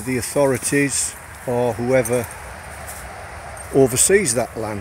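Noticeable background noise sits behind a man's voice, which has a dry sound with no echo. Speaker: outdoor vlogger. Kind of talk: casual vlog tutorial. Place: forest. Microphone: phone near.

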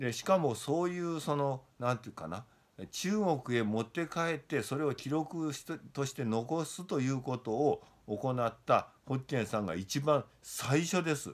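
A man's intonation is lively. He speaks at a fairly slow pace. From Japan. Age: 60s. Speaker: Buddhism scholar; lecturer on Buddhism. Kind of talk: lecture. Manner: casual, many fillers. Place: home room. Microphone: phone near.

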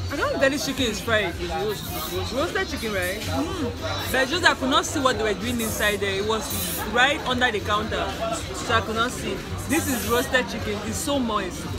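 A woman talks at a moderate pace. Loud music plays in the background. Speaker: food travel vlogger. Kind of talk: casual vlog chat. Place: street. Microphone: headset.

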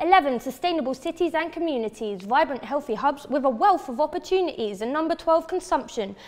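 A woman's fairly quick, lively-intoned speech over noticeable background noise. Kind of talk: spoken word poetry performance.

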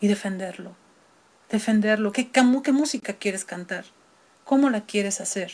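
A woman with a Mexican accent speaks in an animated, somewhat breathy voice of medium pitch at a moderate pace, with long, frequent pauses. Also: ordinary pitch variation. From Mexico City. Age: 50s. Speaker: opera singer; guest. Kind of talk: interview. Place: home room. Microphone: video call.

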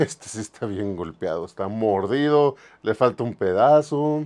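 A man is speaking. His loudness swings widely from moment to moment. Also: quiet background. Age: 50s. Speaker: toy museum owner, collector and video host; video host. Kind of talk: casual toy show-and-tell video. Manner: casual, conversational. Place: shop. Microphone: lapel.

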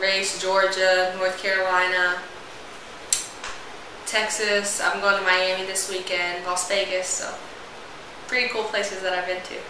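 A woman talks at a moderate pace in a flat monotone, leaving long, frequent pauses. Room echo is audible, and there is noticeable background noise. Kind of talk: interview answer. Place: home room. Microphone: camera far.

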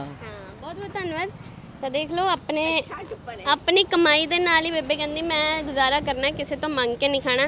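Amid noticeable background noise, a woman speaks in a raised, projected voice at an extremely high pitch. The sound is dry with no echo, and her loudness swings widely. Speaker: news reporter. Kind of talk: street interview reporting. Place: street. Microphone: handheld.

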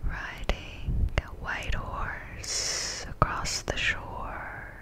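The speaker is a woman in a whisper. Her pace is very slow. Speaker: ASMR artist. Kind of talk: ASMR sleep guidance. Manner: whispered. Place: home room. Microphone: studio mic.

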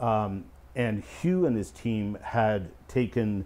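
A man with a Canadian accent speaks in a dark, mellow tone. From Canada, Eastern Ontario; Ontario. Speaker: creation scientist and speaker; speaker. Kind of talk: casual explanatory discussion. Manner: hesitant fillers. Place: studio.

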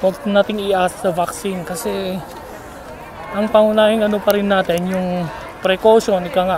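Speech with little pitch movement, faint background noise and faint crowd noise in the background. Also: man, high pitch for a man, moderate pace, slightly mellow tone.

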